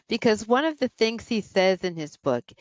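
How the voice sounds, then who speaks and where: In an American accent with vocal fry, the speaker moves at a moderate pace through very wide pitch swings, in a dry, close sound with no echo. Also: woman. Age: 60s. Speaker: psychologist and former college president. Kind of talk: interview conversation.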